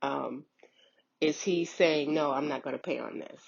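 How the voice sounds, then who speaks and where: A woman speaks at a very slow pace with vocal fry. Her pitch is very deep and low, with fairly even intonation. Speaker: unemployment claims worker. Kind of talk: informational vlog. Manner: hesitant, filler words.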